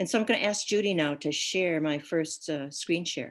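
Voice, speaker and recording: The speaker is a woman with a fairly low pitch. Her pitch varies in an ordinary way. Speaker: guest speaker. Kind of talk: talk. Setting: video call. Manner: soft-spoken.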